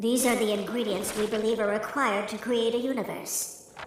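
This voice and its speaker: A female-sounding cartoonish character voice, fairly high-pitched, talks at a fairly quick pace with clear echo and clear background noise. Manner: cold, dry, formal.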